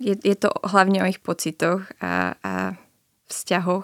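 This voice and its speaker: A woman talks at a fairly slow pace in a dry, close sound with no echo, on a very clean recording with a silent background. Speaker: journalism student and documentary author. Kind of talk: radio interview.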